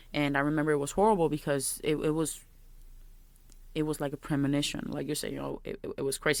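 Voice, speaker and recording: With a strong Puerto Rican accent, a woman speaks very fast in a very deep, low, flat monotone on a very clean recording with a silent background. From Puerto Rico. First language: Spanish. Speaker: podcast co-host. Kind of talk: casual chat.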